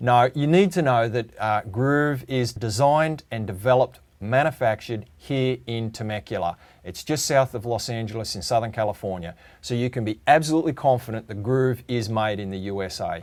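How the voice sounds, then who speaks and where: A medium-pitched male voice with an Australian accent and ordinary pitch variation. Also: moderate pace. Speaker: automation product presenter. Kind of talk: webinar presentation.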